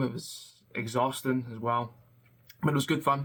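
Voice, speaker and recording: Intonation fairly even and pitch medium, a man talks at a moderate pace. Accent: Scottish. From Scotland. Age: 20s. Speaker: web developer. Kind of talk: casual vlog talk. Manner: hesitant, many fillers.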